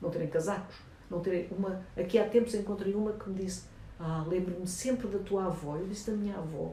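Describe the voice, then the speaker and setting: Audible room echo surrounds the voice. A woman talks at a very fast pace. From Angola. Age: 70s. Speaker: journalist and documentary filmmaker. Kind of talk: interview. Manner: animated.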